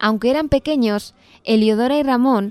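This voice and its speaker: A woman's pitch varies in an ordinary way as she talks at a moderate speed in a normal speaking voice. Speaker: radio host. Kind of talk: scripted radio narration.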